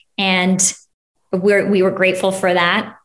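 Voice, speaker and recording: Audible room echo surrounds a woman with an American accent. Her medium-pitched voice moves at a fairly slow pace. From Ohio. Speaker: recent transplant to Texas. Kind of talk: interview.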